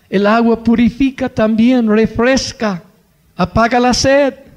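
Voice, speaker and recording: A man talks at a very slow pace with a dark, mellow tone. His intonation stays fairly even. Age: 80s+. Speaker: missionary preacher. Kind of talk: sermon.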